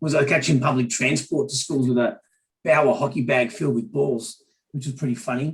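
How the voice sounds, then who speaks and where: A somewhat breathy man's voice with an Australian accent, medium pitch, ordinary pitch variation and a very fast pace. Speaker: business leader. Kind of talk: panel discussion.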